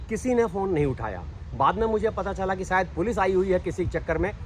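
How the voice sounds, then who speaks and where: A man with a high pitch against noticeable background noise. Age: 60s. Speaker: ex-armed forces facility manager. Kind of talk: interview testimony. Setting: outdoors on morning walk.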